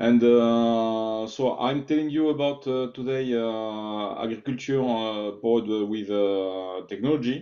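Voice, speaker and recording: This man speaks with a French accent at a medium pitch. He keeps a fairly slow pace and fairly even intonation. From France. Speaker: technology executive, invited speaker. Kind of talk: online presentation. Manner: halting, many filler sounds.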